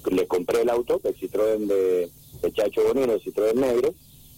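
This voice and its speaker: The man's speech sounds dry and close, without any echo. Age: 40s. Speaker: racing driver. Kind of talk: interview.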